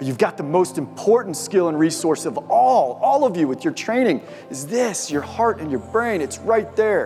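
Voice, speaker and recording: A man's high-pitched voice at a moderate pace, with very wide pitch swings and hardly any pauses, music playing in the background. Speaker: motivational speaker; mountain guide. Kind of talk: keynote speech to live audience.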